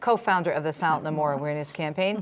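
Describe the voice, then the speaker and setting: A woman's very fast speech, very deep and low in pitch, with ordinary pitch variation. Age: 60s. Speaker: talk show host. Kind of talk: show introduction and panel chat.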